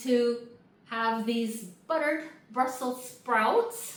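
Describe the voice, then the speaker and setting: Loud and high in pitch, a woman's voice rings with audible room echo. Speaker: home cook. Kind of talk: cooking tutorial. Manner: casual, conversational. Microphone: external mic problems, sounds like shouting.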